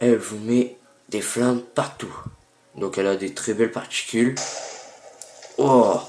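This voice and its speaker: A man's medium-pitched voice at a very slow pace, with monotone, flat intonation, long, frequent pauses, and noticeable background noise. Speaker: gaming youtuber. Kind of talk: gameplay tutorial. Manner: hesitant, many fillers.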